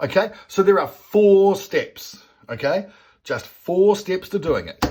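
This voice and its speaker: The speaker has an Australian accent and an animated tone. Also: man. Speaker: business coach. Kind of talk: whiteboard tutorial. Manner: fast.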